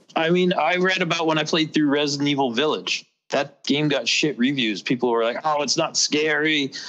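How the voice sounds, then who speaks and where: A man speaks at a moderate pace with hardly any pauses, his pitch fairly high and its variation ordinary. It is an unremarkable speaking voice. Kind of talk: casual chat. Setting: video call.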